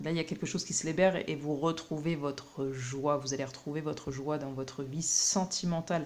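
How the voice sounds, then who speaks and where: Fairly even intonation accompanies a moderate speaking pace. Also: woman. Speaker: tarot card reader. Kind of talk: tarot reading. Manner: hesitant, many fillers.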